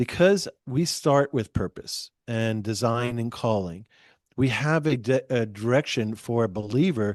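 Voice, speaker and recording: With a plain, everyday voice, a man speaks at a fairly slow pace and medium pitch with ordinary pitch variation, in a dry, close sound with no echo and a quiet background. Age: 60s. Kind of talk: podcast interview.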